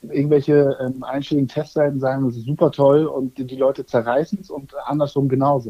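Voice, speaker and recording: Here, a man talks at a moderate pace in a normal speaking voice. His pitch is fairly high. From northern Germany, near Kiel. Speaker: digital advertising expert and former youth footballer. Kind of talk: casual chat.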